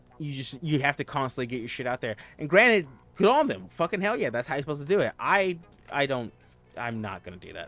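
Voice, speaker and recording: Over music in the background, a man with a fairly high voice speaks very fast, with very wide pitch swings and big swings in loudness. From US South. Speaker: vtuber streamer. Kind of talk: casual chat. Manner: rambling, filler-heavy.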